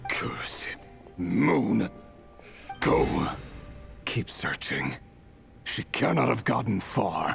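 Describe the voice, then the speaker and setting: Over clear background music, a man uses a put-on character voice at a fairly low pitch, speaking very slowly with long, frequent pauses. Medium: game stream.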